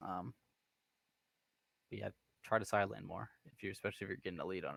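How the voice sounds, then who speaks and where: An American-accented man is heard with a dry, close sound and no echo. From US Pacific Northwest, Washington State. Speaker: video game coach. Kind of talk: coaching session.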